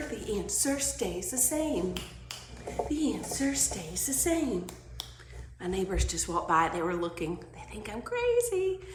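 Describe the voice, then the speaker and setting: Noticeable background noise and audible room echo accompany a woman who speaks at a fairly slow pace. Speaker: first grade teacher. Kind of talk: tutorial. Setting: at home. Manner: animated.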